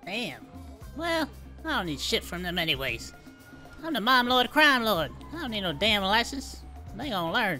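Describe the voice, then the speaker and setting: A put-on character voice at fairly high pitch moves at a moderate pace with long, frequent pauses. Clear music plays in the background. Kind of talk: comic streetwise bravado. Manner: brash, swaggering, profane.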